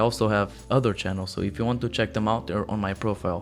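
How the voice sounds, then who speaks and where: A man with a non-native accent speaks very fast at a fairly low pitch. His pitch variation is ordinary, and music plays in the background. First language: not English. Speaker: reddit story narrator. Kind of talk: reading aloud; channel outro. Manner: stuttering.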